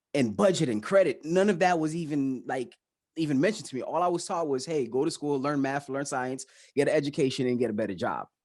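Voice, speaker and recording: With a Haitian accent, a man speaks at a very fast pace and fairly high pitch with ordinary pitch variation, against a quiet background. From Miami, Florida (Haitian family). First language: Haitian Creole. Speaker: financial educator, YouTuber. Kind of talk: interview.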